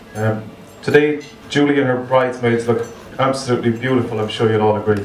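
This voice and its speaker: A man with a Cork accent speaks at a very fast pace, his intonation fairly even. Noticeable background noise runs behind him. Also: medium pitch for a man. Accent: Irish, Cork. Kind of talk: best man wedding speech.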